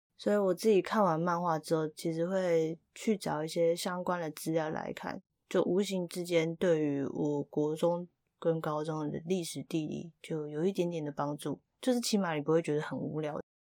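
Recorded very cleanly against a silent background, a woman with a Taiwanese accent speaks in a fairly low pitch with a dark, mellow tone and fairly even intonation, the sound dry and close with no echo. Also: moderate pace. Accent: Taiwanese Mandarin. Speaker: podcast host. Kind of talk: casual monologue.

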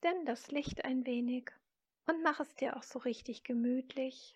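Her voice is high-pitched with a calm, soothing tone. The woman talks at a very slow pace with fairly even intonation. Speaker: meditation guide. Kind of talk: guided meditation. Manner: slow, soft, calm and soothing; gentle, inviting, with long pauses.

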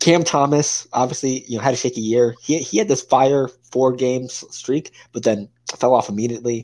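A man with a plain, everyday voice talks at a moderate pace and a medium pitch, his intonation fairly even, on a very clean recording with a silent background. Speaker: co-host, sports fan. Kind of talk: casual sports debate.

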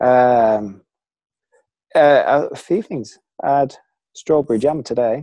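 The voice has a dark, mellow tone and ordinary pitch variation, moving at a very slow pace with long, frequent pauses. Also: man, medium pitch for a man. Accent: Lancashire. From Preston, Lancashire, northern England. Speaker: former elite runner. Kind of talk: casual interview.

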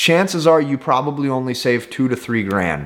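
Here a man with an unremarkable speaking voice talks at a fairly high pitch with ordinary pitch variation. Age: 20s. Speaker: entrepreneur and YouTuber. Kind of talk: motivational talk to camera.

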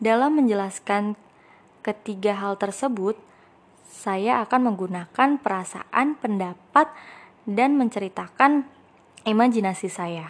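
Speaking fairly slowly, a woman has a normal speaking voice. Her pitch is fairly high, with ordinary variation. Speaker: student podcaster. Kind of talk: scripted narration.

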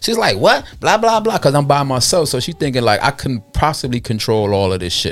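A man in a Brooklyn accent at a fairly quick pace, with very wide pitch swings and hardly any pauses. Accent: New York, Brooklyn. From Brooklyn, New York. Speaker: music distribution entrepreneur. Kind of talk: casual chat. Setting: studio.

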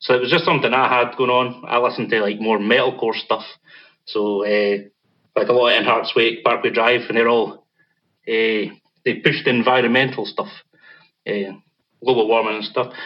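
Speaking at a moderate pace with long, frequent pauses, a man keeps a medium pitch, fairly even intonation and very even loudness. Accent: Scottish. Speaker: metal band vocalist. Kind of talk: casual interview.

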